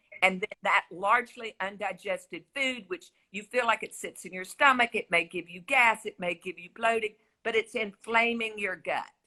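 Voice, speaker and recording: A woman with a Southern US accent speaks at a moderate pace in a fairly high voice, her tone bright and sharp. Her pitch varies in an ordinary way while her loudness swings widely, and the sound is dry and close with no echo. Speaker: health expert guest on a talk show.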